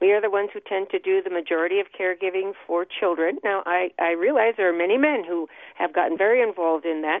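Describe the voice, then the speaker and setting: Speaking in an American accent, a woman rattles along at a very fast pace with medium pitch. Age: 60s. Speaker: author and social worker. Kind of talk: interview. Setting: phone call.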